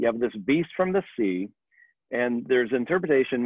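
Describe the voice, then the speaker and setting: A man is speaking. His pace is moderate against a quiet background. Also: dry sound with no echo. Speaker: church teacher. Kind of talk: Bible study lecture. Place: home room. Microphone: webcam.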